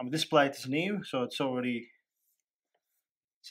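At a medium pitch and moderate pace, a man speaks in a fairly bright tone with ordinary pitch variation.

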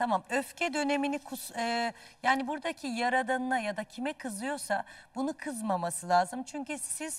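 A woman talks in an unremarkable speaking voice at a moderate pace. Her pitch variation is ordinary. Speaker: dream interpreter. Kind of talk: live TV dream readings for callers. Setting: TV studio, live broadcast.

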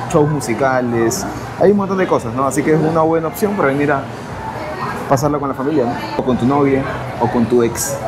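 Over crowd noise in the background, a man talks at a moderate pace with ordinary pitch variation. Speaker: travel vlogger. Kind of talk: casual vlog chat. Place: shop. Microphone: lapel.

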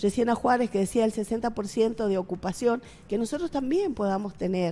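A woman's fairly high voice with a dark, mellow tone, ordinary pitch variation and a moderate pace. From Argentina, San Juan (Rawson); Argentina. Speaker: political candidate; candidate. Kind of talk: interview. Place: studio. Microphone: headset.

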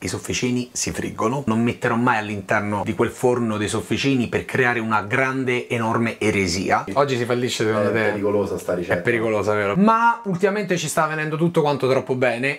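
A man speaks at a very fast pace with ordinary pitch variation. Light background noise can be heard. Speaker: cooking show host. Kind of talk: casual cooking vlog chat. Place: kitchen.

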